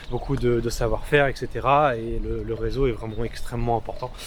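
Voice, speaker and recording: A man keeps a moderate pace, and background noise is noticeable throughout. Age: young. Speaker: freelance videographer. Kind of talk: interview. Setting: outdoors.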